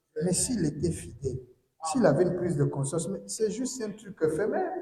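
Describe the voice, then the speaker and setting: A man talks at a moderate speed, and room echo is audible around his voice. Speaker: preacher. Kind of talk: sermon.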